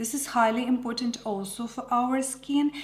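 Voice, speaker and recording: Noticeable background noise sits behind a woman with a Ukrainian accent and a high pitch. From Ukraine. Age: 40s. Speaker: makeup artist. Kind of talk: product review vlog. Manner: hesitant with many fillers.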